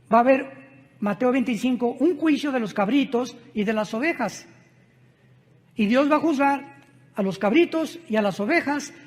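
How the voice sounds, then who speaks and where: The speaker goes at a moderate pace but leaves long, frequent pauses. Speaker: preacher. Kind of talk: sermon.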